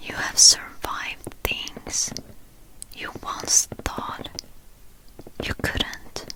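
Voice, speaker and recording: A woman whispers very slowly with long, frequent pauses, against noticeable background noise. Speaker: ASMR artist. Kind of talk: guided reflection. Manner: whispered, soft.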